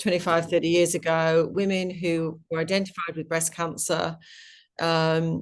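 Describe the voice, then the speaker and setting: Intonation stays fairly even. The pace is fairly slow. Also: woman. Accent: British. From UK. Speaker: company executive. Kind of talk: interview. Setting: webinar video call. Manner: passionate.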